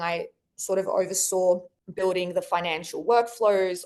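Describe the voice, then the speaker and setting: A woman speaks in an Australian accent at a medium pitch. Her intonation is fairly even over a quiet background. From Australia, Sydney. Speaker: marketing executive. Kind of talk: podcast interview.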